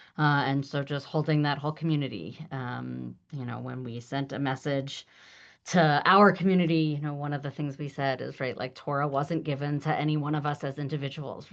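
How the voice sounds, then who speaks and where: The speaker goes at a fairly quick pace with fairly even intonation. The background is quiet. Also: woman, very deep, low pitch for a woman. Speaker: rabbi teaching a class. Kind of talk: online lecture. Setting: video call. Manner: fast.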